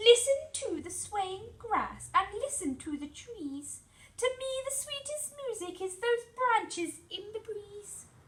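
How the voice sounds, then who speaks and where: In a put-on character voice, a woman squeaks at an extremely high pitch, her loudness swinging widely and her pitch ranging very far as she goes at a fairly slow pace. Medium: read story.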